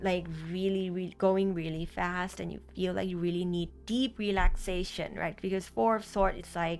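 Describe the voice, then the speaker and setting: A woman at medium pitch with a Thai accent, moderate pace, and fairly even intonation, music playing in the background. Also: hardly any pauses. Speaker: tarot reader. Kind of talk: tarot reading to camera. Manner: halting, many fillers and restarts.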